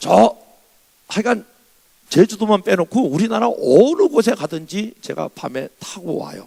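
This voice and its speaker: A moderate pace with very wide pitch swings, in a dry, close sound with no echo. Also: man. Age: 60s. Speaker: revival preacher, pastor. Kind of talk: sermon. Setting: church.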